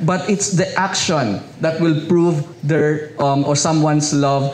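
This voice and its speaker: Here a man talks at a high pitch. Noticeable background noise and audible room echo surround him. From Philippines, Rizal province (Binangonan). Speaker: pastor. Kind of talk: sermon.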